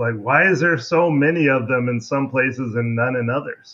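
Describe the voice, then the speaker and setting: A man with an American accent has a normal speaking voice. His pitch is fairly high with ordinary variation. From US Pacific Northwest, Seattle. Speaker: crayfish researcher. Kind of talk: interview, educational explanation.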